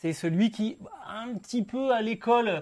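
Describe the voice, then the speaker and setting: A man talks at a fairly slow pace with ordinary pitch variation. The recording is very clean, with a silent background. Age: 40s. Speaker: motorsport podcast host. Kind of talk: casual chat.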